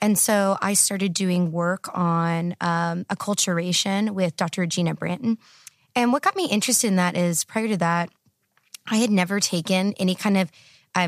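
In an ordinary speaking voice with an American accent, a woman talks at a moderate pace and medium pitch, her intonation fairly even and her loudness very even, on a very clean recording with a silent background and a dry, close sound with no echo. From Texas. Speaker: PhD candidate in political science. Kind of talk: casual interview. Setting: studio.

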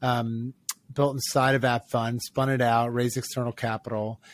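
Man with an American accent and a medium pitch. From Maryland, US (Ocean City). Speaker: startup founder and venture investor. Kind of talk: interview.

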